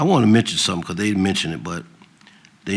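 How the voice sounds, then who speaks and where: In a room with audible echo, a man with a very deep, low pitch talks at a very fast pace. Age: 70s. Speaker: city council member. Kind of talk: council meeting remarks. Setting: council chamber. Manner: halting.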